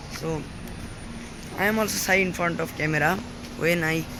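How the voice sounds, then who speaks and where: A man speaks with a fairly high pitch over noticeable background noise. Audible room echo surrounds his voice. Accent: Bengali. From Bangladesh, village. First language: Bengali. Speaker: English learner vlogger. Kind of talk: casual vlog. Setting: outdoors. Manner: halting.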